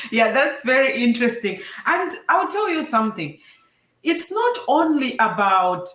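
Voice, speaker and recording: At a fairly slow pace, a woman talks in a high pitch with very wide pitch swings, and audible room echo surrounds her. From Zambia. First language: a Zambian language (English is second). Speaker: STEM show host, engineer. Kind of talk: casual interview. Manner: animated.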